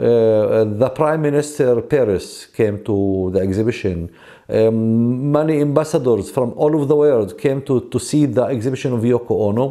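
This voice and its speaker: A man with a Palestinian accent and a dark, mellow tone talks at a moderate pace and medium pitch, with ordinary pitch variation, hardly any pauses and a quiet background. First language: Arabic. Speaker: artist and gallery founder. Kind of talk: interview. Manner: halting, many filler sounds. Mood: calm, reflective storytelling. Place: home room.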